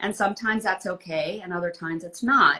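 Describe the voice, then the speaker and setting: A woman's ordinary speaking voice at a moderate pace, with ordinary pitch variation. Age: 60s. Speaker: author. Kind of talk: interview. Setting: live video call.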